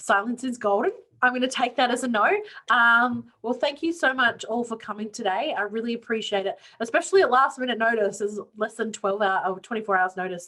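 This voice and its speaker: A bright, sharp tone with an Australian accent. The pace is very fast, with ordinary pitch variation. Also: woman. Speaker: student union clubs coordinator. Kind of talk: online info session Q&A.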